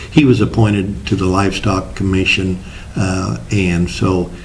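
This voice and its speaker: A Midwestern US accent with fairly even intonation and audible room echo. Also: man. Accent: rural Midwestern American. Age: 60s. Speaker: state legislator. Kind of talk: interview. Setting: studio.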